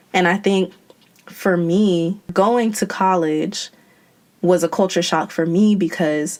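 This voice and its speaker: A woman's normal speaking voice with an American accent, medium in pitch, at a fairly slow pace, with fairly even intonation. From United States. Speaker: podcast host. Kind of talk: podcast interview.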